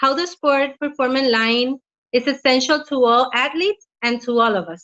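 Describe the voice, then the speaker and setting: There's a woman speaking at a moderate pace with ordinary pitch variation. Her high voice has a bright, sharp tone. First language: not English. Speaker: health practitioner and product presenter. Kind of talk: product presentation read from notes. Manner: halting.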